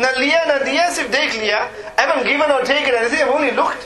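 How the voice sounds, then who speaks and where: A man with an extremely high voice projects loudly at a fairly quick pace with ordinary pitch variation, over audible room echo and noticeable background noise. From northern England, Dewsbury. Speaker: Islamic scholar. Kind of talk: religious lecture.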